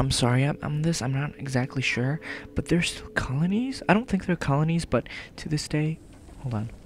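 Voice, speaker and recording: Quiet speech comes at a moderate pace over noticeable background noise. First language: not English. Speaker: let's play gamer. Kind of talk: let's play commentary with reading aloud.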